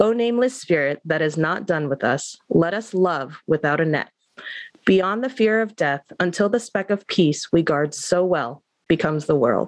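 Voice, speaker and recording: In a plain, everyday voice, a woman speaks at a moderate pace with lively intonation. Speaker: podcast co-host.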